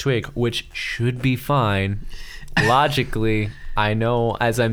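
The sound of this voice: The clip is read aloud. It uses an unforced reading voice.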